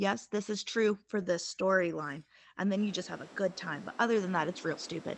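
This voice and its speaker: Using a plain, everyday voice, a woman talks at a medium pitch and a moderate pace. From Appalachian South (US). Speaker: podcast co-host. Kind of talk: casual chat.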